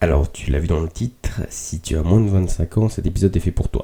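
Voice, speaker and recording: At an even, middling speed, a man talks in an extremely deep voice. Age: 20s. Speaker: podcast host. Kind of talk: casual reflective monologue. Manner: halting with many fillers.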